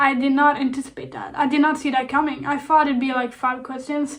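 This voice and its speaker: A woman with a Swedish accent speaks at a high pitch and a fairly quick pace in a monotone, flat intonation. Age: 20s. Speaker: YouTuber. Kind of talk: casual Q&A vlog. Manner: calm.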